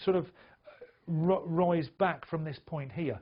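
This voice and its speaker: This man speaks with a high pitch. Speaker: trading educator. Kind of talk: tutorial. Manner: fast.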